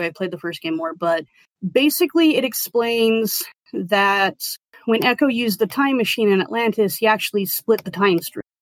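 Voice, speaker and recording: In an ordinary speaking voice, a woman talks at a fairly quick pace with lively intonation and a fairly high pitch, in a dry, close sound with no echo. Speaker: podcast guest discussing a video game special interest. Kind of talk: casual interview.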